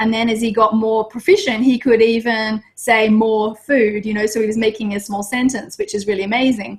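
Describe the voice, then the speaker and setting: With an Australian accent, a woman talks at a fairly quick pace with hardly any pauses, her fairly high voice somewhat breathy. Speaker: Montessori teacher. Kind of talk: casual chat. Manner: fast; animated.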